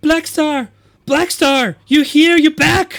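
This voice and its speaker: A shrill, high-pitched put-on character voice at a very slow pace. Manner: excited, breathless.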